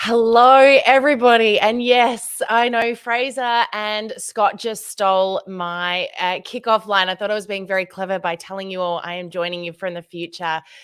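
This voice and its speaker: In an Australian accent, a woman speaks at medium pitch with ordinary pitch variation. Her loudness swings widely. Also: moderate pace, hardly any pauses. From Australia, Tasmania. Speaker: social media trainer for direct selling. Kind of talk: conference presentation. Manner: animated.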